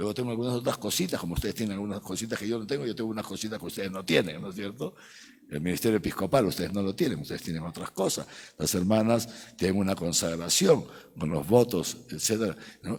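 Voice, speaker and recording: On a very clean recording with a silent background, a man speaks very fast at a fairly low pitch with ordinary pitch variation. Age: 60s. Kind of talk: catechetical lecture to a live audience. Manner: conversational, frequent tag questions like ¿eh? ¿no?.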